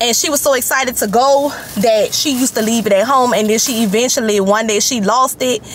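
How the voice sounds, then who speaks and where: A woman talks at a moderate pace with ordinary pitch variation. The sound is dry with no echo, with light background noise. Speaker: mother vlogger. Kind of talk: casual vlog chat. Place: car. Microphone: phone near.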